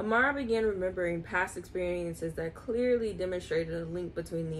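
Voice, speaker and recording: Speaking at a fairly quick pace, a woman with a fairly low pitch is heard over light background noise. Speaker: video host reading aloud. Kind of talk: reading aloud. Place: home room. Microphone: phone near.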